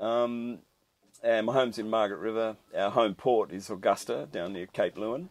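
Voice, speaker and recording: An Australian-accented man speaks at a moderate pace in a fairly low voice with ordinary pitch variation. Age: 60s. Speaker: commercial fisherman. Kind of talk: interview. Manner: halting, many fillers.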